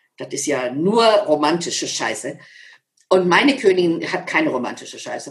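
In an unremarkable speaking voice, a woman with a fairly low pitch talks at a moderate pace with lively intonation. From Lower Saxony, Germany (Schaumburg area). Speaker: motivational speaker and author. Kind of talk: interview.

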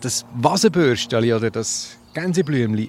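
A man's lively intonation comes through in a dry, close sound with no echo. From Switzerland, Lucerne hinterland. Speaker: botanist podcast co-host. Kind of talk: casual educational chat. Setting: outdoors in a garden.

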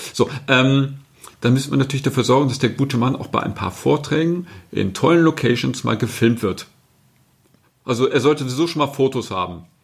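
A man with vocal fry speaks at medium pitch, fairly quickly. His pitch varies in an ordinary way, broken by long, frequent pauses. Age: 50s. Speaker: marketing agency director. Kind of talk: podcast interview.

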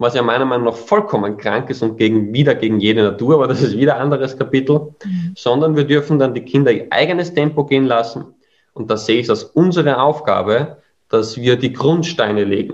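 A man speaks at a medium pitch with an Austrian accent. His pitch varies in an ordinary way at a fairly quick pace. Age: 30s. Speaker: education founder. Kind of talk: interview.

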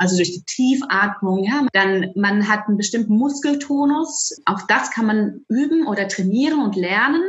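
Against noticeable background noise, a woman with a fairly high pitch talks at a moderate pace with lively intonation and hardly any pauses. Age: 40s. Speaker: music educator. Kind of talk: interview.

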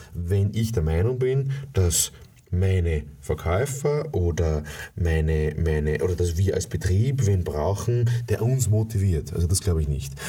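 A man's very deep, low voice, dark and mellow in tone, somewhat breathy, at a fairly slow pace. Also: lively intonation, very even loudness. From USA. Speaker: sales trainer. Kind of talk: motivational monologue. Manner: animated; halting with repetitions.

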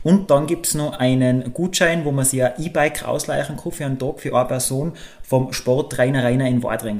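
A man with a Tyrolean accent speaks at a fairly quick pace, with a fairly high pitch and ordinary pitch variation. There is noticeable background noise. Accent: Tyrolean Austrian German. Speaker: podcast co-host. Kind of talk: casual chat.

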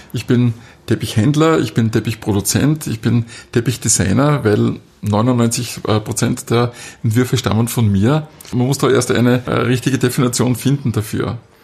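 A somewhat breathy man of medium pitch, with fairly even intonation at a moderate pace. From Austria, southern Styria. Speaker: carpet dealer and designer. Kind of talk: interview. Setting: carpet gallery, muffled acoustics.

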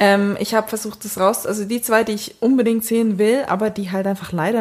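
A woman with an ordinary speaking voice, a fairly quick pace and fairly even intonation. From Switzerland. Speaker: podcast co-host. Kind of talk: casual chat.

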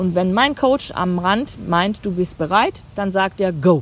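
Over noticeable background noise, a woman at a medium pitch speaks in an animated tone with lively intonation. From Germany. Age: 50s. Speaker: life coach and podcast host. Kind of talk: casual chat. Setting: outdoors on a meadow.

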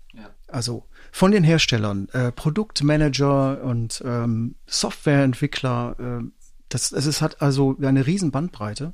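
A man of medium pitch speaks at a very slow pace with ordinary pitch variation and big swings in loudness. The recording is very clean, with a silent background. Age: 50s. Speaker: podcast co-host, musician and journalist. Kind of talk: casual chat.

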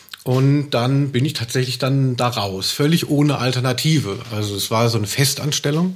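With hardly any pauses, a man speaks at a moderate pace and medium pitch with ordinary variation over noticeable background noise. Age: 40s. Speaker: music journalist and author. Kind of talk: casual chat.

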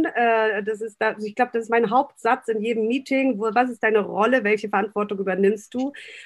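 Here is a woman with a normal speaking voice at a moderate pace. Her pitch is fairly high. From northern Germany, Baltic coast. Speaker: restaurant owner and consultant. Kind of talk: podcast interview.

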